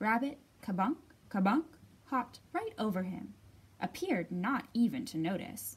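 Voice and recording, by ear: The text is read aloud in a natural voice.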